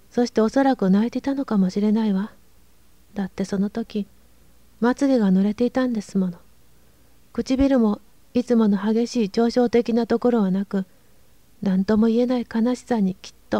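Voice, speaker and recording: A woman with a fairly high pitch and a dark, mellow tone sounds strained, speaking at a moderate pace with fairly even intonation and long, frequent pauses. The recording has a dry, close sound with no echo. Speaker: narrator. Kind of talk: audiobook reading of a classic novel. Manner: restrained, unemotional.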